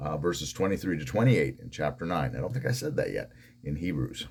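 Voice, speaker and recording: A man's very deep, low pitch with very wide pitch swings and vocal fry. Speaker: pastor. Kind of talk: devotional Bible teaching.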